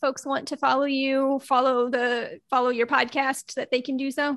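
A woman's raised, projected voice, high-pitched and bright and sharp in tone, at a moderate pace. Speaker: podcast co-host. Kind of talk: casual chat. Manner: animated.

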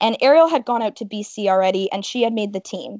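On a very clean recording with a silent background and a dry, close sound with no echo, a woman with a Canadian accent speaks in a fairly high pitch with ordinary pitch variation. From Ontario, Canada (Welland, Niagara region). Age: 20s. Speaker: stand-up paddleboard racer. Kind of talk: interview. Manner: animated.

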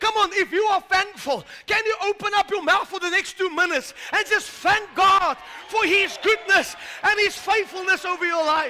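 Amid noticeable background noise, a man raises and projects his voice at an extremely high pitch. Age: 60s. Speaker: pastor. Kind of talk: sermon. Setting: church. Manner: animated.

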